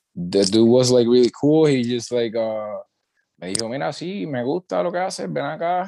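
Lively intonation marks this man's voice, which has a dark, mellow tone. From Puerto Rico, Utuado. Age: 20s. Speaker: musician, rapper and singer. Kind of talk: casual interview.

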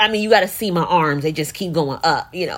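A woman speaks with a fairly low pitch and an animated tone, showing ordinary pitch variation. The recording is very clean, with a silent background. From US, New Jersey (Newark). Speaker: podcast host and coffee entrepreneur. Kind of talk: casual monologue.

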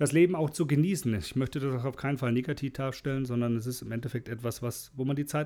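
In a plain, everyday voice, a man talks at a fairly quick pace with fairly even intonation, recorded very cleanly against a silent background. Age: 40s. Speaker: podcast host. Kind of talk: solo monologue. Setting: alone at the microphone.

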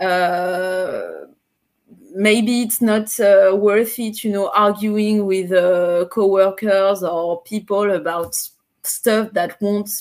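A woman in a French Caribbean accent, very slow and fairly even in intonation, with music in the background. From Martinique. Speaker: singer-songwriter and beat maker. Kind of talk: interview. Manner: halting, with many fillers.

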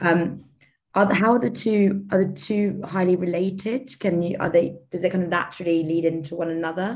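At a fairly quick pace, a woman talks in an ordinary speaking voice, her medium pitch carried by fairly even intonation. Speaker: student podcast host. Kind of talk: interview.

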